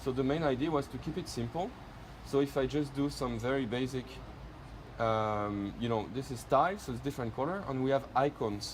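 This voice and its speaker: A man with a French accent talks at a fairly quick pace in a medium pitch. His voice is somewhat breathy, with ordinary pitch variation. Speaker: product presenter. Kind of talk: product demonstration.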